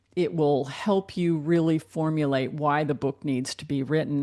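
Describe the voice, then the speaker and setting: At a moderate pace, a woman talks in a very deep, low voice. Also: quiet background. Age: 60s. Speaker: book editor and author. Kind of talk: interview.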